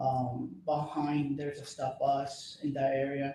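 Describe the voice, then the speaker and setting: Audible room echo surrounds a man speaking with a Spanish accent. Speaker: police officer testifying as witness. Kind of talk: court testimony. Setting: courtroom.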